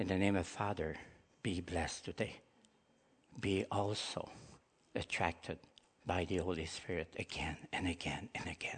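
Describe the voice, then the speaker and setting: Whispering with a Quebec accent, a man speaks at a moderate pace broken by long, frequent pauses. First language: French. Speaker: preacher. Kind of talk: sermon. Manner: halting.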